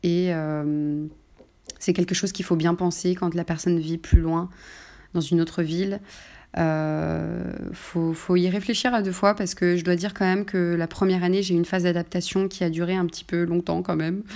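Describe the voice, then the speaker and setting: A woman's fairly low, monotone voice with flat intonation and a dark, mellow tone, at a moderate pace against a quiet background. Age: 20s. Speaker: childcare assistant on parental leave. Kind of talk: interview about her personal story. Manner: hesitant, many fillers.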